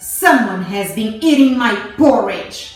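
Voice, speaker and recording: A woman puts on a growling character voice at a fairly high pitch and a fairly slow pace, with a slight echo and faint music in the background. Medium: read story.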